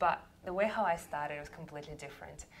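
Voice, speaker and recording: Audible room echo surrounds a woman with a Russian accent and a very deep, low pitch. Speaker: sales coach. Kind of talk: workshop talk.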